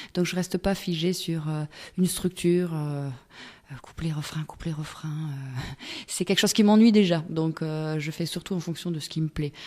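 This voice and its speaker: At a moderate pace, a woman speaks at a fairly low pitch in a dark, mellow tone with fairly even intonation. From Togo. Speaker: singer-songwriter. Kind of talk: radio interview. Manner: hesitant, many fillers.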